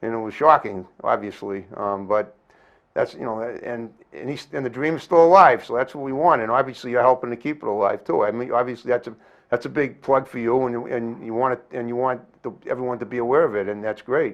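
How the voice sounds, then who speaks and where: With an American accent, a man talks at a fairly quick pace in an ordinary speaking voice, medium in pitch with ordinary pitch variation. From Massachusetts (Brockton). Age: 60s. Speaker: community TV talk show host. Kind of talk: casual interview chat.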